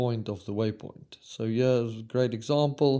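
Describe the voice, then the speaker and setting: A man's dark, mellow voice at a fairly slow pace with fairly even intonation. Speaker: rally navigation trainer and roadbook maker. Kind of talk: tutorial.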